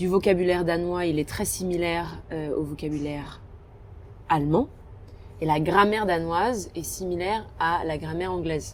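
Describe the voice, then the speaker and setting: A woman with a fairly low voice speaks at a moderate pace with fairly even intonation. She leaves long, frequent pauses, and the room echo is audible. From France, Alsace. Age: 20s. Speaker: naturalist on expedition ship. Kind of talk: interview, casual chat. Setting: ship restaurant at sea. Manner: hesitant, many fillers.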